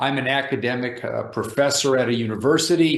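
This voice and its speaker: A man with an ordinary speaking voice, medium pitch, moderate pace and ordinary pitch variation. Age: 60s. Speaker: professor and fitness YouTuber. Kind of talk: casual vlog talk.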